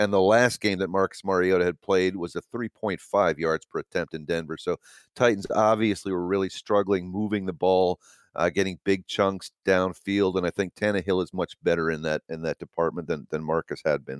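The speech moves at a moderate pace with fairly even intonation, recorded in a dry, close sound with no echo. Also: man, very deep, low pitch for a man. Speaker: sports beat writer. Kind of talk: casual interview chat. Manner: hesitant, many filler words.

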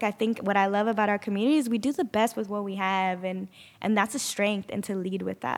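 A woman speaks in a plain, everyday voice with an American accent, fairly high in pitch with ordinary pitch variation. The recording is very clean, with a silent background. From Sanger, California Central Valley. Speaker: community organizer. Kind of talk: interview.

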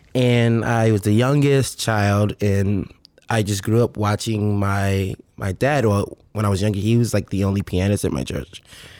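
Over a very clean recording with a silent background, a man talks in a normal speaking voice. He has an American accent, fairly low pitch and a moderate pace. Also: ordinary pitch variation. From Richmond, Virginia, US. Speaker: touring keyboard player. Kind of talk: casual chat.

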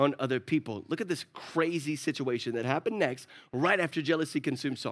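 A fairly quick delivery with ordinary pitch variation, on a very clean recording against a silent background. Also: man. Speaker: pastor. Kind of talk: sermon. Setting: church with congregation. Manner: animated.

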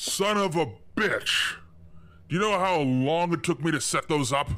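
A man does a gruff put-on character voice pitched high for a man. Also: moderate pace. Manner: irritated, exasperated.

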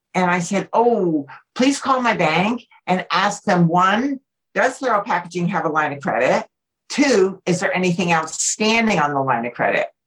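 A somewhat breathy woman's voice with an American accent, medium pitch, lively intonation and a moderate pace. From New Jersey, then southern California from age 13. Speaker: business owner and motivational speaker. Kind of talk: interview.

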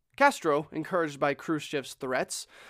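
A man's fairly high voice in a dramatic tone, at a fairly quick pace with ordinary pitch variation, in a very clean recording with a silent background. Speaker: podcast host. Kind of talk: history documentary narration, dramatic storytelling. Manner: casual, conversational; urgent, suspenseful, dramatic pacing.

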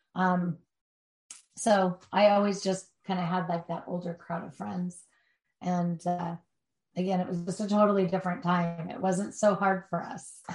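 Her voice is somewhat breathy, at a medium pitch for a woman and a moderate pace. The intonation stays monotone and flat, while the loudness swings widely. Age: 50s. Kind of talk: interview. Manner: halting.

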